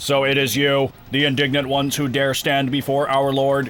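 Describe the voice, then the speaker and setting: A man's put-on, robotic character voice at medium pitch, monotone and flat at a moderate pace, over clear music in the background. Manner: pompous, formal.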